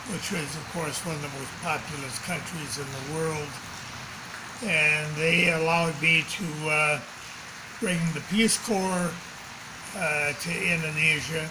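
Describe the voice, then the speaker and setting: A man's fairly high voice at a fairly slow pace, fairly even in intonation, with long, frequent pauses and noticeable background noise. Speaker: sports academy founding president. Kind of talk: interview answer. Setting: home.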